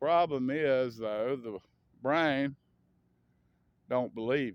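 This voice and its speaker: With an American accent, a man speaks very slowly at medium pitch with ordinary pitch variation. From US South. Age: 60s. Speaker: vlogger. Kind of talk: casual monologue. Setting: outdoors. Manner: rambling, halting with fillers.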